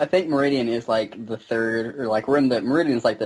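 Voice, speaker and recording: This man talks at a very fast pace, his pitch medium with ordinary variation. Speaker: gamer. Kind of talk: casual chat. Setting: video call.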